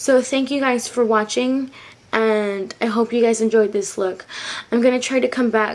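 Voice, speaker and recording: Over noticeable background noise, a woman with a fairly high pitch speaks with ordinary pitch variation. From Mexican heritage. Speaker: beauty vlogger. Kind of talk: makeup tutorial. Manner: casual, filler words.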